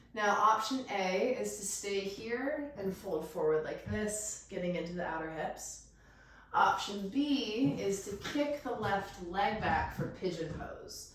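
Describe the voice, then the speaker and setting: A woman talks very slowly at a medium pitch, her tone calm and gentle yet her intonation lively. Noticeable background noise is audible. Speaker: yoga teacher. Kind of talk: guided yoga class instruction. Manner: calm, gentle.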